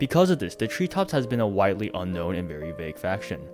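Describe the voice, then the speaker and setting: Backed by music, a man talks at a very fast pace with very wide pitch swings. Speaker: voice actor. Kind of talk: video essay narration.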